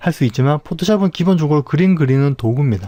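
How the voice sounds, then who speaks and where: A man speaks at a fairly quick pace with a fairly high pitch. His tone is dark and mellow, and his intonation is lively. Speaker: Photoshop tutorial instructor. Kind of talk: tutorial. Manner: fast.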